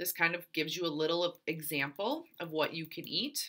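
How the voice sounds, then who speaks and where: Fairly slow and fairly low in pitch, a woman speaks in a bright, sharp tone. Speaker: fitness coach. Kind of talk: tutorial. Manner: casual, encouraging.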